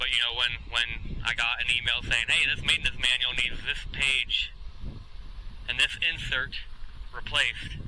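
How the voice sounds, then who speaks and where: A man speaks at a moderate pace with very even loudness, leaving long, frequent pauses over noticeable background noise. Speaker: vlogger and navy veteran. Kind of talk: casual vlog monologue while riding. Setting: outdoors riding electric scooter at night. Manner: halting, many fillers.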